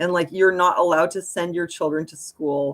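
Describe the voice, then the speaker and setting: A woman with a Montreal accent, at a moderate pace and with fairly even intonation. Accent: Montreal anglophone Canadian. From Quebec, Montreal. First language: German. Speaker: live streamer. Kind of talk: casual live-stream talk. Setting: live stream. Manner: casual, filler-heavy.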